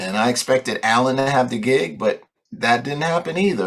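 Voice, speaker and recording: A man speaks at a fairly quick clip in a medium pitch, his voice swinging very widely up and down, with vocal fry. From New York. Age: 60s. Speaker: jazz guitarist. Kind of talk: interview, storytelling.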